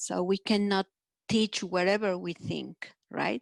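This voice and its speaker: A woman with a Mexican accent talks fairly slowly at medium pitch and with fairly even intonation, the sound dry and close with no echo over a quiet background. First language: Spanish. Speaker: folk dance group member. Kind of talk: workshop question. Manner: halting.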